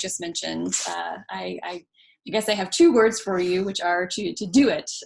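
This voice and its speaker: At a fairly quick pace, a woman talks in a plain, everyday voice at a medium pitch. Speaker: art historian and curator. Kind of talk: talk introduction.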